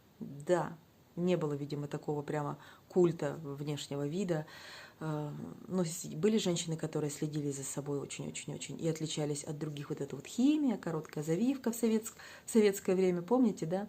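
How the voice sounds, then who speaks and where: A quiet woman's voice at a very deep, low pitch with a dark, mellow tone, ordinary pitch variation and a fairly quick pace. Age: 40s. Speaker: weight-loss vlogger. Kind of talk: casual vlog monologue. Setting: at home, child sleeping nearby. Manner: quiet, subdued speech.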